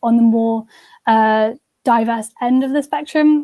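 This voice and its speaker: Dark and mellow in tone, a woman's voice sits high in pitch. Her intonation is fairly even. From southern England, home counties. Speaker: university student. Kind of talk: interview. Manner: hesitant, many fillers.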